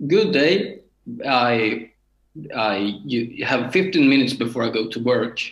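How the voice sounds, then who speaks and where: Speaking in a Swedish accent, a man goes at a very slow pace with long, frequent pauses and lively intonation. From Sweden, Örebro. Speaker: beginner harmonica player, municipal board secretary. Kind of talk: interview. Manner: halting.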